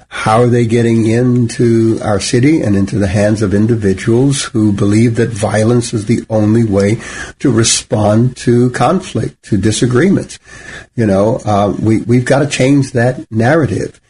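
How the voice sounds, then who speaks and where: At a fairly slow pace, a man with an unremarkable speaking voice talks at medium pitch, with ordinary pitch variation and very even loudness. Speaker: pastor and radio host. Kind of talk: radio talk show, co-host chat.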